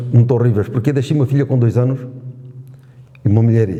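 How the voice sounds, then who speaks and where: Here a man speaks at a medium pitch with fairly even intonation. His loudness stays very even. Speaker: war veteran. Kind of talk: testimony.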